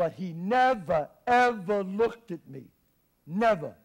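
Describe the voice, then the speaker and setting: A man speaks at a very slow pace with an American accent. The background is quiet. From Bronx, New York. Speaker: actor. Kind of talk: theatrical monologue. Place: stage.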